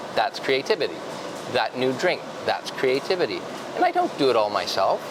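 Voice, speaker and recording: A man speaks over noticeable background noise. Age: 60s. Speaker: coffee roaster founder, business owner. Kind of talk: interview conversation. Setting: on location in a coffee shop.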